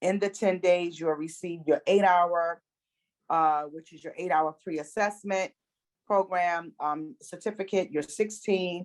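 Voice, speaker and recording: A woman speaks at a fairly slow pace in a fairly low pitch, with fairly even intonation and an ordinary speaking voice. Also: big swings in loudness. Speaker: enrollment specialist presenting a training program. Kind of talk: presentation at an online meeting.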